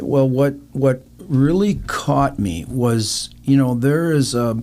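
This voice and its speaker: With an American accent and a dark, mellow tone, a man at medium pitch speaks at a very slow pace with lively intonation. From Minnesota, US Midwest. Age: 70s. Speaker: charity motorcycle rider. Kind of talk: interview.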